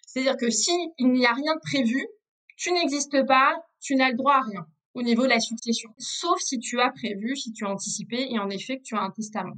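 At a moderate pace, a woman talks in a high pitch with a bright, sharp tone. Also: lively intonation. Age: 30s. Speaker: former lawyer, legal advisor. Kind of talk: interview on family law. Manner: hesitant, many fillers.

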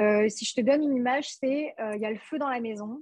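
In a dry, close sound with no echo, a woman speaks at a moderate pace. Her pitch is high, with ordinary variation. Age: 20s. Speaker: couples therapist. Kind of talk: casual interview.

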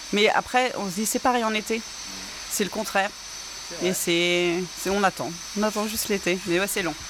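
The talking moves at a moderate pace with long, frequent pauses. Noticeable background noise runs underneath. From Normandy, northwestern France. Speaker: automotive industry manager. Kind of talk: interview. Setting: French bakery. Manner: hesitant, many fillers.

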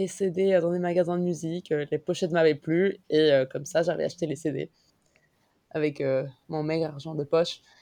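A woman's fairly low-pitched, dark and mellow voice at a fairly slow pace. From Mexico. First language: Spanish (speaking French). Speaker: concert organizer and illustrator. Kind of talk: casual chat.

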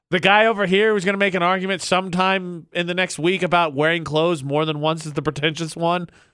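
On a very clean recording with a silent background, a man with an American accent talks very fast in a high pitch with a bright, sharp tone. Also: fairly even intonation. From Indiana. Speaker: morning radio host. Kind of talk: casual chat. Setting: studio.

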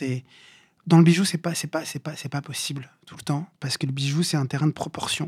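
Somewhat breathy and dark, mellow in tone, a man speaks at a fairly high pitch with fairly even intonation, the sound dry and close with no echo and the recording very clean over a silent background. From Paris suburbs (Bobigny). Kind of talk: interview. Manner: halting, many fillers and repetitions.

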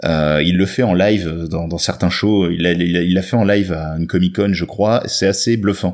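With hardly any pauses, a man speaks at a moderate pace in a very deep, low voice with fairly even intonation, on a very clean recording with a silent background. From northern France. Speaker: comics expert. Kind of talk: casual chat.

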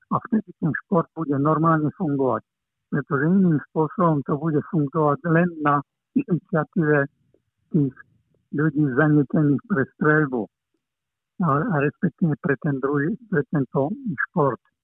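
This man talks at a fairly slow pace with long, frequent pauses, very even loudness, and ordinary pitch variation. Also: fairly high pitch for a man. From eastern Slovakia, Prešov. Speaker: shooting coach. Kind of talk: interview. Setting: phone call.

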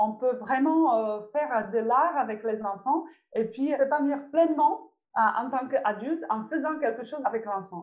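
Her high-pitched voice has lively intonation as this woman speaks. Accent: Czech. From Czech Republic. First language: Czech (speaking French). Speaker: visual artist and children's workshop leader. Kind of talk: interview. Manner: halting, frequent repetitions.

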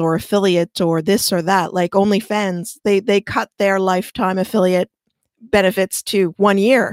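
Here is an unremarkable speaking voice from a woman with medium pitch. She talks at a fairly slow pace on a very clean recording with a silent background. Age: 50s. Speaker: SEO expert. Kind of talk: interview.

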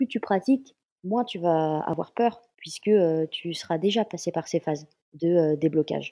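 Recorded dry and close with no echo over a quiet background, a woman with a fairly low pitch and a dark, mellow tone talks at a moderate pace with ordinary pitch variation. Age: 20s. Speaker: stunt performer. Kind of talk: casual interview.

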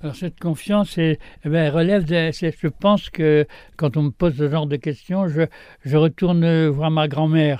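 A man speaks at a fairly high pitch with a dark, mellow tone and fairly even intonation. The sound is dry and close with no echo, over a quiet background. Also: moderate pace. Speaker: retired gardener. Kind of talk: interview. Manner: halting, many repetitions.

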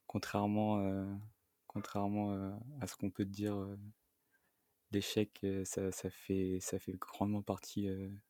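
Man with a fairly low pitch and a dark, mellow tone, monotone and flat, very slow with long, frequent pauses, in a dry, close sound with no echo. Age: 20s. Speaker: interviewee sharing breakup story. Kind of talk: personal testimony interview. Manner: halting, many repetitions and fillers.

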